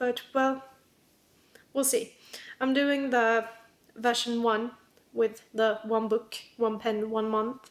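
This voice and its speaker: A woman with a non-native accent talks very slowly at a fairly high pitch, with long, frequent pauses. Her intonation is monotone and flat, and her loudness stays very even. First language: not English. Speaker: planner YouTuber. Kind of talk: casual vlog talk. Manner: hesitant, filler-heavy.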